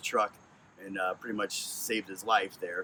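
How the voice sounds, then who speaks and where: Over noticeable background noise, a man with an American accent speaks at a fairly quick pace. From Connecticut. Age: 40s. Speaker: truck driver. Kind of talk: audition monologue. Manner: loud.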